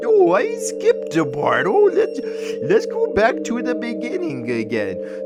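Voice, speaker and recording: A put-on character voice at a fairly slow pace over loud background music. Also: man. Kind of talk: game lore narration in character. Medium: read story. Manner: rambling, jokey.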